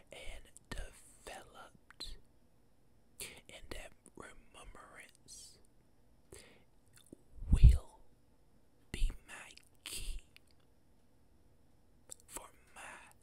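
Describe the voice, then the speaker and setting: Whispering at a very slow pace, a man leaves long, frequent pauses. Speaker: ASMR creator. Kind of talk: ASMR whisper ramble, motivational talk to camera. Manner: whispered, soft-spoken. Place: home room. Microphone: studio mic.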